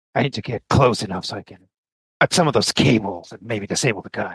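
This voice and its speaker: Very fast and raspy, a man does a put-on character voice at a medium pitch, with ordinary pitch variation and big swings in loudness, in a dry, close sound with no echo. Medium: actual play.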